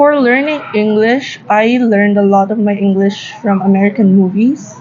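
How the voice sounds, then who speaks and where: A woman with a Filipino accent speaks at medium pitch and a moderate pace, with ordinary pitch variation. Noticeable background noise is present. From Philippines, Korean-born, moved as a child. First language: Korean. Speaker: interview guest. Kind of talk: casual interview.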